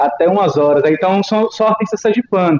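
A man speaks with ordinary pitch variation. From Sergipe, Brazil. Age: 30s. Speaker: rock musician. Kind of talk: casual interview.

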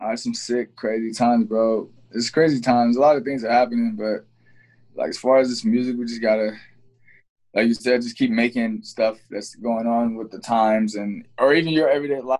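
This man has a plain, everyday voice with an American accent and a medium pitch. He talks at a fairly quick pace with fairly even intonation. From Ohio, Cincinnati. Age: 20s. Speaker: rapper and producer. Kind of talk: casual chat.

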